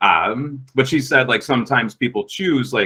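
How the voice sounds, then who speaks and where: A man talks with an American accent. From US Midwest, Minnesota. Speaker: podcast guest telling a personal story. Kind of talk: casual storytelling. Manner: loud.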